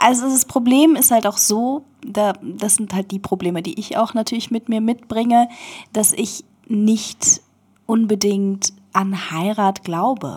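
Somewhat breathy, a woman speaks at a very slow pace. Her pitch is fairly high. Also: ordinary pitch variation. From Berlin, Germany. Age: 20s. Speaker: interview guest. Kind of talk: casual chat. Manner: halting.

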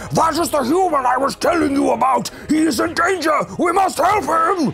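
Shouting in a put-on character voice at a moderate pace, a man is heard over clear background noise. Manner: bellowing.

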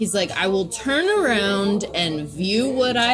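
Over music in the background and audible room echo, a woman with an American accent speaks at medium pitch with very wide pitch swings. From US South, Nashville, Tennessee. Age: 30s. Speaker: poet. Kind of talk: casual chat.

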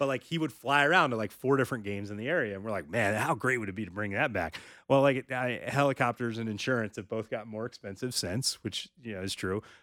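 In a very clean recording with a silent background, a man speaks very fast in a bright, sharp tone with ordinary pitch variation. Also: medium pitch for a man, hardly any pauses. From North Carolina. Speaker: high school sports journalist and publisher. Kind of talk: casual interview chat.

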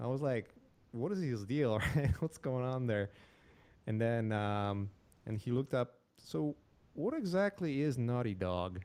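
A man's medium-pitched, dark, mellow voice in a Polish accent, with lively intonation, a fairly slow pace and long, frequent pauses. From Poland. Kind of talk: casual interview. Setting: live stream.

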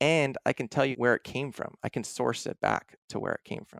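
With an American accent, a man speaks at a moderate pace with vocal fry and lively intonation, the sound dry and close with no echo. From US Northeast, Philadelphia area. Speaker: graduate student scientist. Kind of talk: casual interview.

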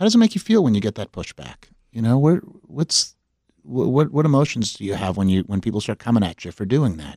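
On a very clean recording with a silent background, a man with an American accent speaks at a fairly quick pace in a dark, mellow tone with very wide pitch swings, the sound dry and close with no echo. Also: medium pitch for a man. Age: 50s. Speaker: podcast host, former mayor. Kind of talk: interview.

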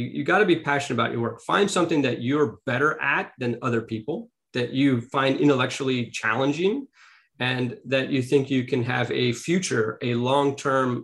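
At a moderate pace, a man with an American accent talks in a medium pitch. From US West Coast, Beverly Hills, California. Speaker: tech entrepreneur and board advisor. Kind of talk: interview.

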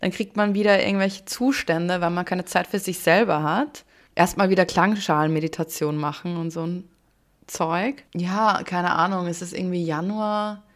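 A woman talks at a moderate pace in a normal speaking voice, fairly low in pitch with ordinary pitch variation. The recording is very clean with a silent background. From Austria. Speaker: podcast co-host. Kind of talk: casual chat.

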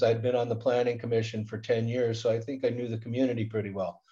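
A man's dark, mellow, somewhat breathy voice at medium pitch, at a very fast pace. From Southern California, Inland Empire. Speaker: school board president and accounting instructor. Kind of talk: interview.

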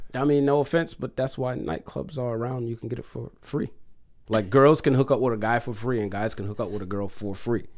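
A man talks at a fairly quick pace in a normal speaking voice. His pitch is medium, with ordinary variation. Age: 30s. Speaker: DJ and music producer. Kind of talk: casual chat. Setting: studio.

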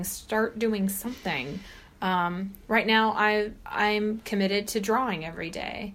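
A woman talks at a medium pitch with ordinary pitch variation. She has a plain, everyday voice. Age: 40s. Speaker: author. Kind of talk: casual chat.

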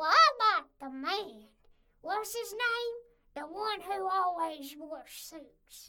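A woman speaks at an extremely high pitch with lively intonation. Her pace is very slow, and her loudness swings widely. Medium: audio drama. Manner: crude, cranky, loud.

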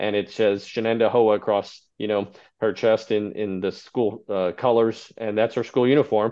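A man speaks with an American accent in a plain, everyday voice. His pitch is medium and his pace moderate. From Texas. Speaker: state high school athletics association director. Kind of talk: interview.

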